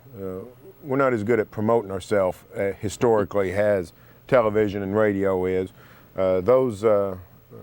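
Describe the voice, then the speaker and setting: A man speaks with an Oklahoma accent. The sound is dry and close, with no echo. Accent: Oklahoma twang. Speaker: sports writer and radio host. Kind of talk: TV talk show interview.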